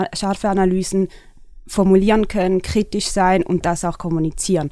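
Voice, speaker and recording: Her intonation monotone and flat, a woman talks at a medium pitch. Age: 30s. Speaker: media company CEO, former stage director and dancer. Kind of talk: interview conversation.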